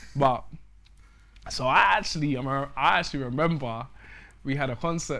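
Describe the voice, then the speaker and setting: With a London accent, a man speaks at a fairly quick pace in a fairly high pitch and a bright, sharp tone, with ordinary pitch variation and long, frequent pauses. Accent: London Multicultural English. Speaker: musician. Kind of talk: casual interview chat.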